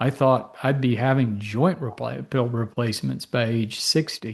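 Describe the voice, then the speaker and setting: Somewhat breathy and fairly slow, a man speaks at a medium pitch with ordinary pitch variation. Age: 60s. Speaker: physician. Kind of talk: interview. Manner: conversational.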